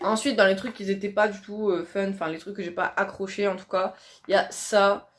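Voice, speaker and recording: A woman at medium pitch and moderate pace, monotone and flat in intonation, with big swings in loudness. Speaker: beauty youtuber. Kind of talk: casual product review vlog.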